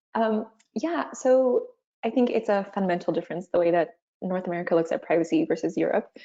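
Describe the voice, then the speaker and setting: Speaking at a fairly quick pace in a Canadian accent, a woman has a dark, mellow tone and ordinary pitch variation against a quiet background. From Canada. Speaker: corporate legal counsel. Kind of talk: webinar panel discussion.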